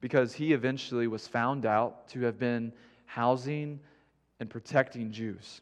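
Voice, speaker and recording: A man speaks at a fairly slow pace and a medium pitch, his intonation fairly even, over a quiet background. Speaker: guest preacher. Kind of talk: sermon. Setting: church.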